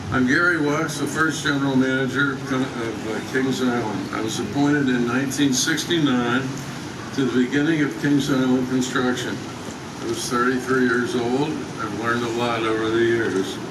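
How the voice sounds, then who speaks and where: Noticeable background noise and audible room echo surround a man at medium pitch. He keeps a moderate pace and fairly even intonation. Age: 80s+. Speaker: theme park founder and former general manager. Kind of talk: ceremony speech. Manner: halting.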